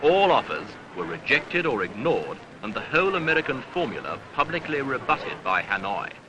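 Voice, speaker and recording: A fairly high-pitched man at a fairly quick pace, with very wide pitch swings and noticeable background noise. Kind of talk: newsreel narration.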